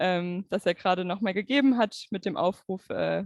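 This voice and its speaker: This woman speaks with a German accent at a fairly quick pace. Her pitch variation is ordinary. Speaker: event moderator. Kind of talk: moderated discussion. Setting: video call.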